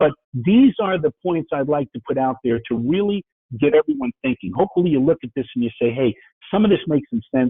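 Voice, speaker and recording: A man speaks in a New York accent at a fairly quick pace. His pitch is fairly high and swings very widely. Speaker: business speaker, IT entrepreneur. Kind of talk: webinar presentation. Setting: webinar. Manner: fast.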